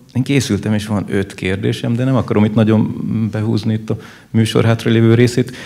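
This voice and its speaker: With a dark, mellow tone, a man speaks at a moderate pace in a monotone, flat intonation. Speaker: audience member. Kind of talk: audience question at panel discussion. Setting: live event with audience. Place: hall. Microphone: handheld.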